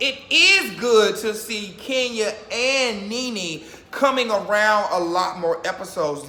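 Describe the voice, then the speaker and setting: A man's high, raised and projected voice with lively intonation, over noticeable background noise and audible room echo. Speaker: YouTuber reacting to reality TV. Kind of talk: casual vlog commentary. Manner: fast.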